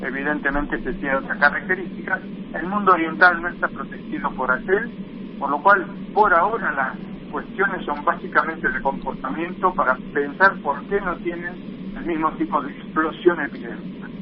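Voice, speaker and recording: Amid noticeable background noise, a man speaks in a high voice. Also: ordinary pitch variation, moderate pace. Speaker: infectious disease doctor. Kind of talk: phone interview.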